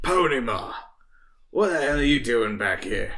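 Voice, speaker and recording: A raspy, put-on character voice from a man, fairly high-pitched, at a moderate pace, with audible echo. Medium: actual play. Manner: blunt, folksy.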